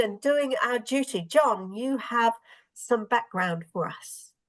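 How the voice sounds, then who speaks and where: A woman's high voice in a New Zealand accent, lively in intonation, at a fairly slow pace. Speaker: stand-in host of a Bible discussion. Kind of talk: moderated group discussion.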